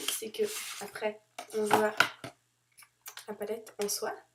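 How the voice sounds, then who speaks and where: Pausing long and often, a woman with a fairly high pitch speaks at a very slow pace. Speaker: beauty vlogger. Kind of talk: product review vlog. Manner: hesitant, many fillers.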